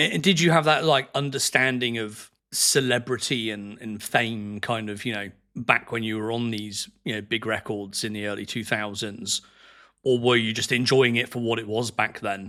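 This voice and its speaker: A man with an English accent, medium pitch and a bright, sharp tone, at a moderate pace with fairly even intonation, in a very clean recording with a silent background. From England. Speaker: podcast host. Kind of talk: casual interview chat.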